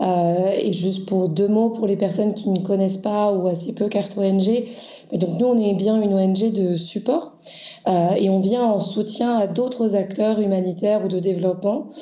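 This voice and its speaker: In a room with audible echo, a woman's somewhat breathy voice keeps a fairly even intonation. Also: very even loudness. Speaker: NGO co-director. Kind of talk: webinar presentation. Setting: video call webinar.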